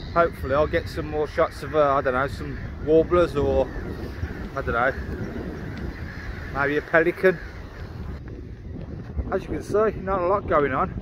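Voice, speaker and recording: Long, frequent pauses break up this man's speech, which has a dry sound with no echo over noticeable background noise. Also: moderate pace. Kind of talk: casual vlog chat. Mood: mildly disappointed, upbeat. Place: waterside. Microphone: phone near.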